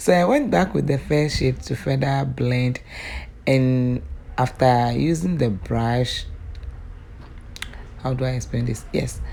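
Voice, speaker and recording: Against noticeable background noise, a woman talks very slowly and pauses long and often. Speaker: beauty vlogger. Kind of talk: tutorial voice-over.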